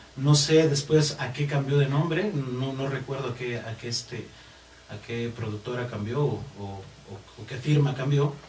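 Amid noticeable background noise and audible room echo, a man speaks at a fairly slow pace and medium pitch with ordinary pitch variation and big swings in loudness. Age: 30s. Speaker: singer and guitarist. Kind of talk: interview.

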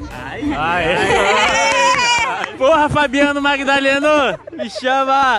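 A man speaks in a raised, projected voice at an extremely high pitch, with very wide pitch swings and a very slow pace, while a crowd murmurs in the background. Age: 20s. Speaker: podcast host. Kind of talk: casual chat. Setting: outdoors at a bar in a public square. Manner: animated.

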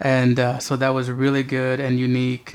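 A man with an American accent, medium pitch, moderate pace, and monotone, flat intonation. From Southern California. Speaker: poet. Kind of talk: interview. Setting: at home.

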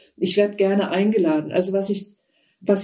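In a dark, mellow tone, a woman talks at a moderate pace with a medium pitch. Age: 60s. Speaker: psychotherapist and author. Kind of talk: interview.

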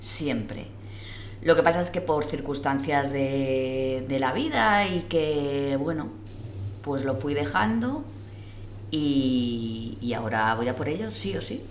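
A woman's very deep, low voice, very slow and with lively intonation, amid noticeable background noise and audible room echo. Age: 40s. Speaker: civil service exam candidate. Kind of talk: casual group chat.

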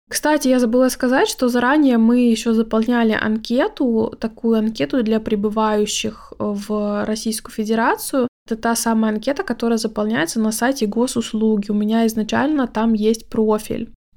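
A woman talks at a moderate pace with hardly any pauses, in a normal speaking voice. Her pitch is fairly high, her intonation fairly even, and her loudness very even. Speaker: podcast host, Swedish language teacher. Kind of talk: casual monologue.

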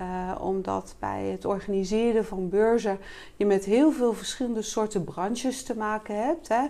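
A woman speaks at a moderate pace with a dark, mellow tone. Her pitch is fairly high, with ordinary variation. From Rotterdam, Netherlands. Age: 50s. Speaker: sales coach and entrepreneur. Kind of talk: casual interview. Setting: showroom.

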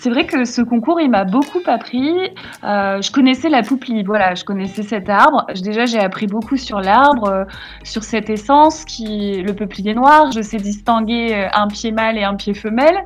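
A woman's fairly high voice, fairly slow in pace and with ordinary pitch variation, over noticeable background noise. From northeastern France (Champagne, Marne village). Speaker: local tree campaigner. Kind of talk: radio interview. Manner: hesitant, many fillers.

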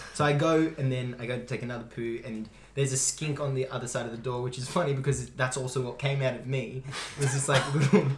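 Very fast speech with an Australian accent and fairly even intonation, plus noticeable background noise and audible room echo. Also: man, medium pitch for a man. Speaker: basketball podcast co-host. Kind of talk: casual chat.

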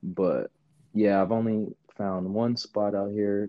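A man with an American accent has a normal speaking voice. He speaks at a fairly slow pace and a fairly low pitch. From Queens, New York. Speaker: powerlifting coach. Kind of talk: casual chat.

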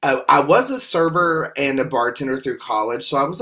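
Using a Southern US accent, a man speaks at a moderate pace with a medium pitch. His tone is bright and sharp, with ordinary pitch variation. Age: 40s. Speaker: podcast host. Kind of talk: testimony.

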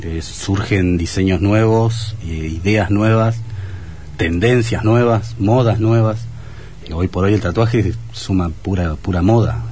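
Speaking at a very slow pace, a man has a fairly low voice with ordinary pitch variation, heard with audible room echo and noticeable background noise. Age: 40s. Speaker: tattoo artist. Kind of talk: radio interview.

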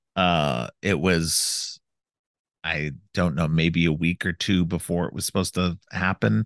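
In a dry, close recording with no echo and a quiet background, a man with a very deep, low voice and vocal fry speaks at a fairly slow pace with ordinary pitch variation. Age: 40s. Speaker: podcast host. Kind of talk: casual chat. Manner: halting, many fillers.

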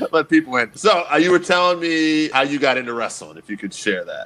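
Fairly quick in pace, a man with fairly high pitch speaks in an ordinary speaking voice. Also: big swings in loudness. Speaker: podcast host, interviewer. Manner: casual, relaxed.

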